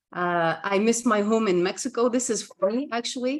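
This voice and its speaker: A woman with a Flemish Belgian accent at a moderate pace. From Belgium, Ghent (Flanders). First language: Dutch (Flemish). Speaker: communication coach. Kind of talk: casual interview chat. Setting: video call.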